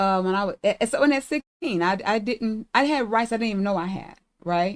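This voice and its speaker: In a very clean recording with a silent background, a woman with an ordinary speaking voice speaks at a medium pitch. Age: 60s. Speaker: reproductive justice advocate. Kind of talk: podcast conversation.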